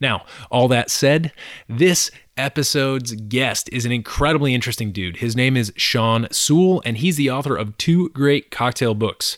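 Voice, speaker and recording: Speaking at a moderate pace and medium pitch with ordinary pitch variation, a man comes through dry and close, with no echo and a very clean, silent background. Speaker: podcast host. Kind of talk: interview. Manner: animated.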